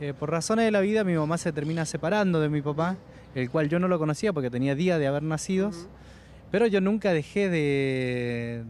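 At a fairly quick pace, a man talks with a fairly high pitch and ordinary pitch variation, the sound dry with no echo and light background noise behind it. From Argentina, Mendoza (San Carlos); Mendoza, Argentina. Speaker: radio worker reunited with his father. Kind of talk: TV interview. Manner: halting, many fillers. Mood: emotional, grateful. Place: street. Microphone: handheld.

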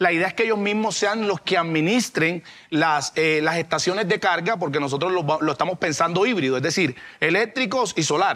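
At a moderate pace, a man talks in a high voice with ordinary pitch variation and very even loudness. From Cartagena, Colombian Caribbean coast. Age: 30s. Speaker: mayoral candidate; candidate. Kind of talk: political debate. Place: studio. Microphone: lapel.

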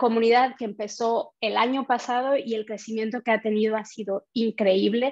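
The delivery comes at a moderate pace in a monotone, flat intonation. The background is quiet. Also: woman. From Mexico. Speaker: community manager; presenter. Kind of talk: online meetup hosting and quiz. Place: home room. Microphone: webcam.

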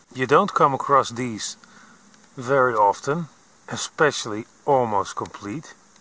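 This man speaks at a fairly slow pace with ordinary pitch variation. His tone is bright and sharp, and the sound is dry with no echo. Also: long, frequent pauses, big swings in loudness. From Netherlands. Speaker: metal detecting video maker. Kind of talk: vlog narration. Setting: outdoors in a field. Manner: frequent laughter. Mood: pleased, relaxed. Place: open country. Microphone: phone near.

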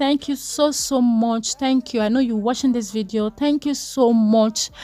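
Over noticeable background noise, a woman speaks fairly slowly in a high pitch. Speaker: lifestyle vlogger. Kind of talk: casual vlog talk.

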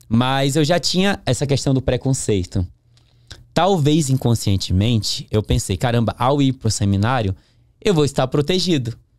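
Lively in intonation, a man speaks at a moderate pace in a medium pitch with very even loudness. The sound is dry with no echo, over a quiet background. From northern Brazil, interior of Pará (Capanema); Pará, Brazil. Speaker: podcast guest. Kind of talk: interview testimony. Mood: calm reflective storytelling. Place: studio. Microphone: studio mic.

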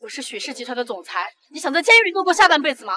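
Putting on a character voice, a woman speaks very fast in a high, bright, sharp pitch with big pitch swings.

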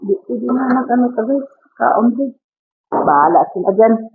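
A woman's high-pitched voice at a fairly slow pace, full of very wide pitch swings. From Philippines. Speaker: domestic helper vlogger. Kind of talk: casual vlog talk. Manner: animated, chatty.

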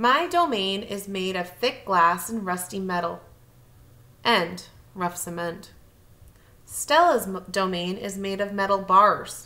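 A bright, sharp tone at a slow pace, with ordinary pitch variation. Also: woman, medium pitch for a woman.

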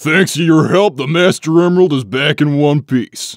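A man uses a put-on character voice with a fairly high pitch. He keeps a moderate pace. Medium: dub.

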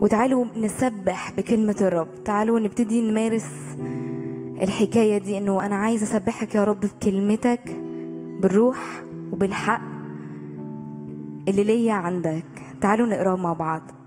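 Over clear background music, a woman speaks fairly slowly with a fairly even intonation and long, frequent pauses. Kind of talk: worship leading and scripture reading. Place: church. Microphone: handheld.

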